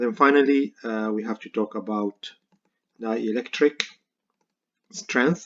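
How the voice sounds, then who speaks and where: Recorded dry and close with no echo, the speaker uses a non-native accent and ordinary pitch variation at a fairly slow pace, with long, frequent pauses. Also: man, medium pitch for a man, big swings in loudness. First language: not English. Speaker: university professor. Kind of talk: lecture. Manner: halting, many fillers.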